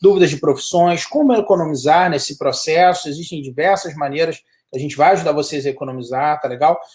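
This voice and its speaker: A man speaks at a fairly quick pace in a fairly high voice for a man. His pitch varies in an ordinary way. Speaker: study abroad consultant. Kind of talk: live webinar chat. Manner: animated.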